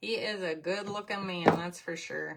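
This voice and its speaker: A woman's medium-pitched voice in a strong Minnesotan accent, fairly slow, with ordinary pitch variation. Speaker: crafting livestream host. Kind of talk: live craft tutorial. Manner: casual, chatty.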